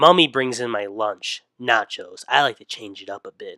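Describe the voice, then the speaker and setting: Using a put-on character voice, a man sounds raspy and deadpan at a medium pitch and moderate pace, with big swings in loudness. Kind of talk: greentext reading. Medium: read story. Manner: deadpan, matter-of-fact.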